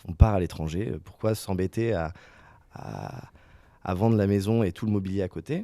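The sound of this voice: A man speaks at a fairly low pitch. His tone is dark and mellow.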